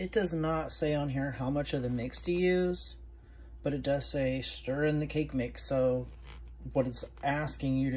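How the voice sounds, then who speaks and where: Someone speaks in an American accent at a moderate pace, with audible room echo. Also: woman. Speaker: food reviewer, diet coach. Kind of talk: casual cooking review vlog. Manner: casual, chatty.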